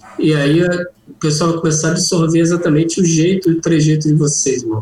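This man has an unremarkable speaking voice with a fairly high pitch. He moves at a moderate pace. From Rio de Janeiro, Brazil. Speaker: cannabis humor content creator. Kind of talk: casual chat. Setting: video call.

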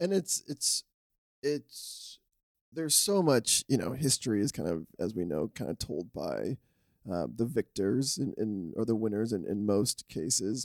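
A man's voice with vocal fry, very wide pitch swings and a fairly slow pace. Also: medium pitch for a man, dry, close sound with no echo. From Canada, Scarborough (Toronto). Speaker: podcast co-host. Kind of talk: casual chat.

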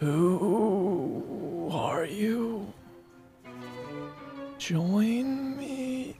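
A female-sounding, croaky put-on character voice sits at medium pitch for a woman. Clear music plays in the background. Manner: eerie, beckoning.

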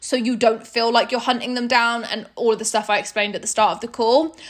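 Here a woman talks in a British accent at a fairly high pitch. Her tone is animated and her pace is very fast. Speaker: network marketing leader and podcast host. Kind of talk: corporate training talk. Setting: recorded video call training.

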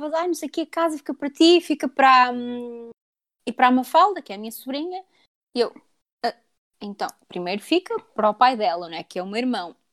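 In a European Portuguese accent, a woman speaks at a high pitch with very wide pitch swings and a fairly quick pace, the recording very clean with a silent background and a dry, close sound free of echo. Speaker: podcast co-host. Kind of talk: casual chat.

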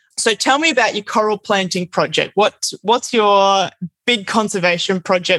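A woman of medium pitch speaks in an Australian accent, with a dry, close sound and no echo. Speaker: podcast host, eco traveler. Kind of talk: casual interview. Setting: remote call.

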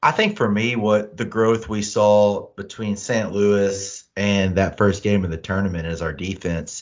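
In a plain, everyday voice, a man speaks fairly slowly at a fairly low pitch with fairly even intonation. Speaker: sports podcast co-host. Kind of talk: casual sports chat. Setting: video call.

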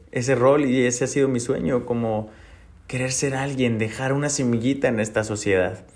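A man at a moderate pace with fairly even intonation, plus audible room echo. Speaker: podcast host, entrepreneur. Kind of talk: personal monologue. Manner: halting, repeats words.

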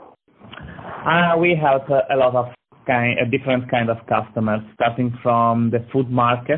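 Speaking very slowly with an Italian accent, a man keeps a medium pitch, fairly even intonation and very even loudness. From Italy, Lucca, Tuscany. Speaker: marketing agency founder. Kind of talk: interview. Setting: phone call. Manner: halting.

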